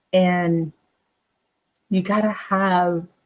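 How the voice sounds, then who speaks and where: A woman talks at a medium pitch with fairly even intonation. Her voice is somewhat breathy. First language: not English, a home language. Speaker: business coach. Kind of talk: casual monologue to camera. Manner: repetitive, filler-heavy.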